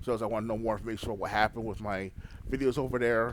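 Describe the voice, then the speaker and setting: A man speaks with an American accent. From New York City. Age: 30s. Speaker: gaming YouTuber. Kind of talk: casual monologue update. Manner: halting, rambling with fillers.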